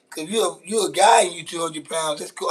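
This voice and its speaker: Speaking with a Louisiana accent, a man uses a high pitch. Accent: Southern US, Louisiana. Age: 40s. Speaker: live streamer. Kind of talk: casual live stream chat while cooking. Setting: outdoors grilling, live stream. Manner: casual, slangy, repetitive.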